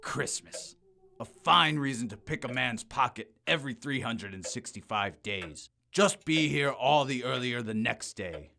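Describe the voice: A man puts on a character voice at a medium pitch, bright and sharp with vocal fry. He speaks at a fairly slow pace with lively intonation.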